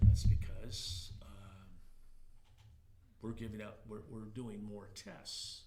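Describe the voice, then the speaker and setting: With a fairly low pitch, vocal fry and a dark, mellow tone, a man speaks at a very slow pace with long, frequent pauses. His pitch variation is ordinary, his loudness swings widely, and audible room echo fills the recording. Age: 70s. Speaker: oral history interviewee. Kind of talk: interview. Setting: library conference room. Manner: halting, repeats words.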